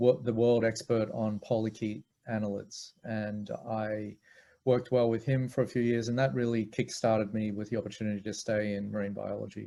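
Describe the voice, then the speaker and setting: A man speaks at medium pitch with a dark, mellow tone and an Australian accent. His intonation is fairly even and his pace moderate. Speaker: marine biology professor. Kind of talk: interview.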